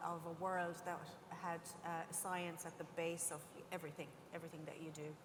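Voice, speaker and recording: A woman with an Irish accent speaks at a moderate pace. Her fairly low voice has monotone, flat intonation. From Ireland. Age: 50s. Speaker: scientist and industry panelist. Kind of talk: panel discussion.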